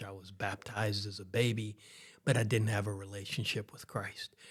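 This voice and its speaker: A man with a Texan accent, fairly low-pitched and fairly even in intonation, at a moderate pace on a very clean recording with a silent background. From Texas, Houston area. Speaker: pastor. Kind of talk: interview conversation.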